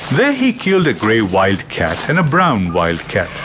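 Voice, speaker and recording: Music plays in the background while a man speaks at a fairly slow pace. His medium pitch moves in very wide swings. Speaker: audiobook narrator. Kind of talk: audiobook folktale narration. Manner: storyteller's measured, expressive narration for children.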